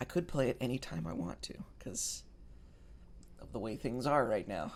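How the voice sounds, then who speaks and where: A man mumbling. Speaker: gaming streamer. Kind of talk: let's play commentary. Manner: hesitant, many filler words.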